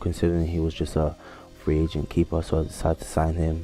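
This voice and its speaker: Very deep, low male speech over background music. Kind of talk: gameplay commentary. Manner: dull.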